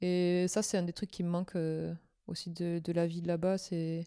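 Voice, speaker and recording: Recorded very cleanly against a silent background, a woman speaks in a dark, mellow tone at a fairly low pitch, the sound dry and close with no echo. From southwestern France. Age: 20s. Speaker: former expatriate. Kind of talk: casual chat.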